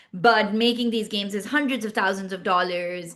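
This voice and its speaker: She speaks at a fairly quick pace with a Pashto accent. Her intonation stays fairly even. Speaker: startup founder and CEO. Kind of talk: podcast interview.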